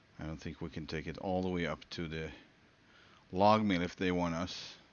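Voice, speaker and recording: A man with a Swedish accent speaks at a moderate pace in a very deep, low pitch with fairly even intonation. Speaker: gaming streamer. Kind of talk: live gameplay commentary. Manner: halting.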